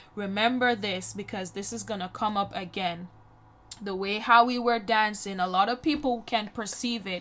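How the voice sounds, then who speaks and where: A woman with a Jamaican accent talks at a moderate pace with fairly even intonation on a very clean recording with a silent background. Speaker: YouTuber. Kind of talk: personal storytelling voiceover. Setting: voiceover recorded over makeup video. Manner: casual, conversational.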